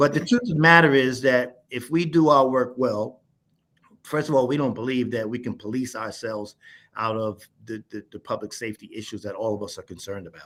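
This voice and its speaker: At a fairly quick pace, a man speaks at a medium pitch with ordinary pitch variation and big swings in loudness. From New York. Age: 60s. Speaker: nonprofit founder and director. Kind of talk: presentation to staff. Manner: repetitive, halting.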